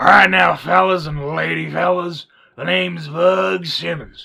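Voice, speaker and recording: A man puts on a character voice. It sits very deep and low in pitch. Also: moderate pace. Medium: audio drama. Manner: hearty, folksy.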